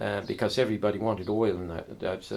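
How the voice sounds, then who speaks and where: A man talks at a very fast pace in a fairly low pitch with vocal fry. His intonation is monotone and flat. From Herefordshire, England. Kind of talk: oral history interview answer. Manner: casual, reminiscing.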